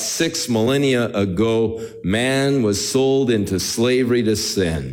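A natural reading voice, its pitch rising and falling in an ordinary way

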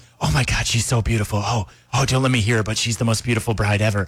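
A man whispers in a put-on character voice at a very fast pace. His loudness stays very even. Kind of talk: gushing. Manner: fake whisper, performative.

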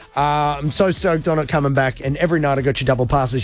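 A man talks at a fast pace. His pitch is fairly high.

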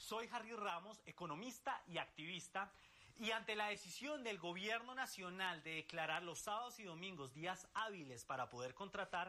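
A man's high-pitched voice, lively in intonation, at a moderate pace, bright and sharp in tone

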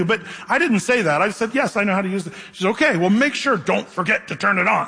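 A man with a bright, sharp tone at a fast pace, ordinary pitch variation, and faint background noise

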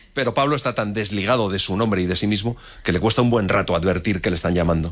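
A man talks at a fast pace with fairly low pitch and ordinary pitch variation. The recording is very clean, with a silent background.

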